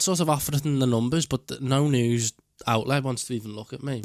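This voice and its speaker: A man with a strong Scouse accent, a fairly high pitch and a fairly quick pace. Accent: thick Scouse. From Bootle/Crosby, Merseyside. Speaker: online video creator. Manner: fast talker.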